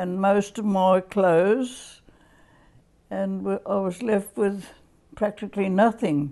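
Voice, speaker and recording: A woman with an Australian accent at a very slow pace, her medium-pitched voice dark and mellow, with ordinary pitch variation, long, frequent pauses, and a quiet background. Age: 80s+. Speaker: interviewee. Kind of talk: oral history interview. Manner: halting.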